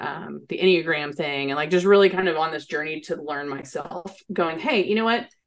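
This voice has ordinary pitch variation and is a plain, everyday voice. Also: woman. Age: 30s. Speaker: HR consultant and entrepreneur. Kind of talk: interview.

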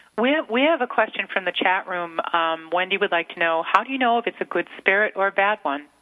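Talking very fast with lively intonation and hardly any pauses, a woman speaks with an American accent. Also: medium pitch for a woman. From Massachusetts. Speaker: radio co-host. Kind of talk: casual chat. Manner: excitable.

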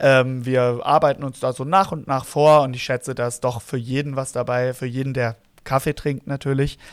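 Recorded with a dry, close sound and no echo, a man uses an ordinary speaking voice at medium pitch with fairly even intonation. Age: 30s. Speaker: barista, podcast co-host. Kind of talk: casual chat. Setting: remote recording.

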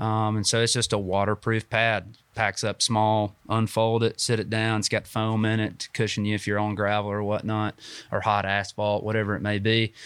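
With a Southern US accent, a man speaks in a flat monotone at a fairly low pitch and moderate pace, with hardly any pauses, on a very clean, dry, close recording with a silent background and no echo. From US South, North Georgia (Dalton). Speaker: small business owner. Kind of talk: interview. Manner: frequent fillers (um, uh).

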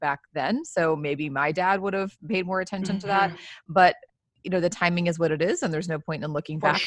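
In an unremarkable speaking voice, a woman talks at a fairly low pitch with fairly even intonation, in a dry, close sound with no echo and a quiet background. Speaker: podcast host.

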